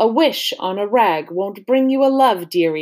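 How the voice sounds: Someone reads aloud naturally. Their intonation rises and falls with life.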